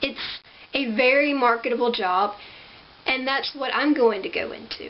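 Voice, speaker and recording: With lively intonation, a woman with a high pitch talks at a moderate pace over noticeable background noise. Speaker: incoming college student. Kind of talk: scholarship application video to camera.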